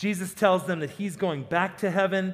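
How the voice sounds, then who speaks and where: A man is speaking. His pace is moderate. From South Dakota. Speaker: pastor. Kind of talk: sermon.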